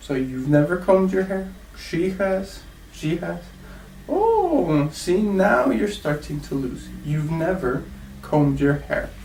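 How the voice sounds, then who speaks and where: Heard with audible room echo and noticeable background noise, a man speaks very slowly. He has an American accent. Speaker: English teacher. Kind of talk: classroom lesson. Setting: classroom with students.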